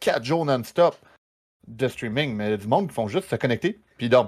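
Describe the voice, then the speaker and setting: A man with a Quebec accent talks at a fairly quick pace. His intonation is lively, and the recording is very clean with a silent background. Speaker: streamer. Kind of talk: casual chat.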